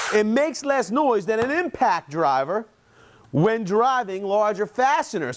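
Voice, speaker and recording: Loud, animated speech at a fairly slow pace, with very wide pitch swings. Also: man, high pitch for a man. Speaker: construction tool reviewer. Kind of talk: product review.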